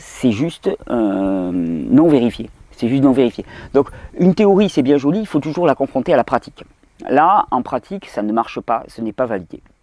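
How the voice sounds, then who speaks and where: In a southern French accent, a man speaks at a moderate pace with a medium pitch and very wide pitch swings. His tone is dark and mellow, and the sound is dry and close with no echo. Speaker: health video host. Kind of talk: video Q&A monologue.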